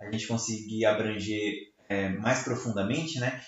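This man talks at a medium pitch and a moderate pace, his intonation monotone and flat. The room echo is audible. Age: 20s. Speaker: podcast host, church ministry worker. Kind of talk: casual chat. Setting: at home.

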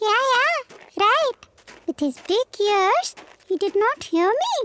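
A put-on character voice, squeaky and soft-spoken, pitched extremely high and delivered at a fairly slow pace. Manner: mumbling.

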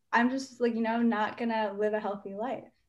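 A woman with an ordinary speaking voice talks at a fairly quick pace and fairly high pitch, her intonation fairly even, over a quiet background. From US, Indian-American (New Jersey). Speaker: pre-med student, nonprofit co-founder. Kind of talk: interview.

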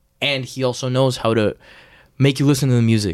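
In a very clean recording with a silent background, a man speaks in a normal speaking voice at medium pitch. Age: 20s. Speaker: singer-songwriter. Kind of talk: casual chat.

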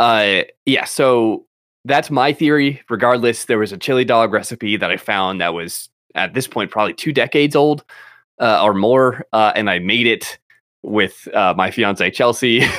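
Over a very clean recording with a silent background, a man with an unremarkable speaking voice uses lively intonation. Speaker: podcast host. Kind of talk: casual chat. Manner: rambling, filler-heavy, laughs often.

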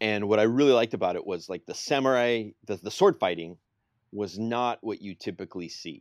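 In a very clean recording with a silent background and a dry, close sound with no echo, a man uses a plain, everyday voice, fairly low in pitch, with ordinary pitch variation at a fairly quick pace. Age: 40s. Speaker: karate podcast co-host. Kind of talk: casual chat.

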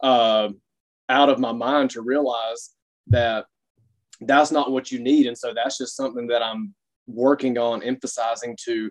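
Here is a man with a Southern US accent, speaking at a moderate pace in a medium pitch. His intonation stays fairly even, and the sound is dry and close with no echo. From US South, Alabama (Dothan). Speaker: fitness coach. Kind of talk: casual interview.

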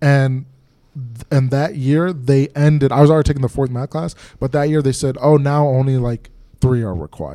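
At a moderate pace, a man talks in an animated tone with a fairly high pitch. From Minnesota. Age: 20s. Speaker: comedian and podcast host. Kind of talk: casual chat.

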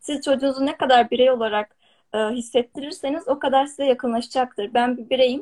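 At a fairly quick pace, a woman with a high pitch and ordinary pitch variation speaks in a dry, close sound with no echo. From Turkey, rural village. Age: 20s. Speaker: software developer and entrepreneur. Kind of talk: interview on a live stream.

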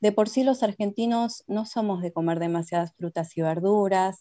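A woman speaks in an ordinary speaking voice at a fairly slow pace, with ordinary pitch variation. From Argentina. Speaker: nutritionist. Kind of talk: interview. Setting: video call.

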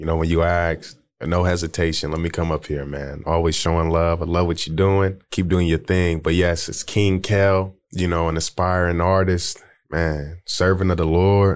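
Over a silent background in a very clean recording, a man speaks at a moderate pace. His voice is very deep and low, with monotone, flat intonation. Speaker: podcast guest. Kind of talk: casual chat.

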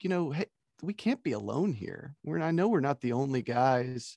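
A man with a plain, everyday voice talks at a moderate pace and fairly high pitch, with ordinary pitch variation, in a dry, close sound with no echo against a quiet background. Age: 40s. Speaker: podcaster and blogger. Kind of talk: casual chat.

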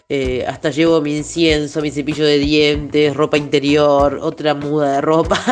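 A woman with an Argentine accent speaks in a very deep, low voice at a fairly slow pace. Her intonation stays flat and monotone, with noticeable background noise. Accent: Rioplatense Argentine Spanish. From Buenos Aires, Argentina. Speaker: singer-songwriter. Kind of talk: interview. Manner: hesitant with fillers.

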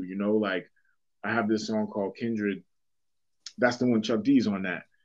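Against a quiet background, a man with a Boston accent talks at a fairly low pitch in monotone, flat intonation. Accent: Boston urban American English. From Boston, Massachusetts (Dorchester). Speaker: rapper and hip hop teacher. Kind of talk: casual interview conversation.

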